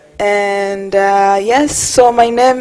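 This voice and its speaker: Over noticeable background noise, the intonation stays fairly even. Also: woman. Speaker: conference speaker for community organization. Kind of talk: conference presentation. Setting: stage with audience. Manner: hesitant, many fillers.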